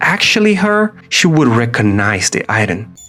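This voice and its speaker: A man with lively intonation at a fairly slow pace, music in the background. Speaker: illustrator and designer. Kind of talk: video essay narration.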